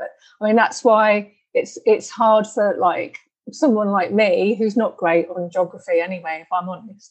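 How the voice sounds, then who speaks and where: In a British accent, a woman talks in a somewhat breathy voice with ordinary pitch variation. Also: medium pitch for a woman, moderate pace. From UK. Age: 50s. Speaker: podcast host and healer. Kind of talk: interview.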